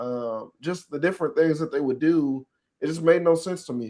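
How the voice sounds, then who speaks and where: On a very clean recording with a silent background, a man talks at a moderate pace in a fairly high pitch with ordinary pitch variation and an unremarkable speaking voice. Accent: American. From Texas. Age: 20s. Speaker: podcast host. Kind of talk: casual chat.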